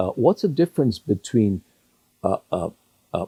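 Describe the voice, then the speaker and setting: A somewhat breathy man at medium pitch, dark and mellow in tone, with very wide pitch swings in a dry, close sound with no echo. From Hong Kong. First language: Cantonese. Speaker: retired judge. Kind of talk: interview. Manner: halting, repeats words.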